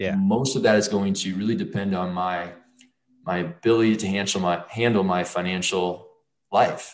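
In a room with audible echo, a man with a fairly low pitch speaks at a moderate pace with fairly even intonation. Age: 40s. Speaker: finance educator and entrepreneur. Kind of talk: interview.

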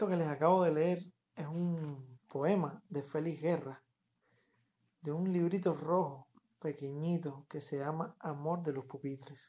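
Fairly slow delivery in a dark, mellow tone with fairly even intonation. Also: man, fairly high pitch for a man. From Cuba, Havana. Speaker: poet and poetry podcaster. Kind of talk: casual talk between poetry readings. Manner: halting, with many fillers and repetitions.

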